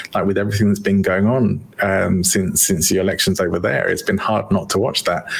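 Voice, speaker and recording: A man with an English accent talks at a fairly quick pace with hardly any pauses. His loudness stays very even over noticeable background noise. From England.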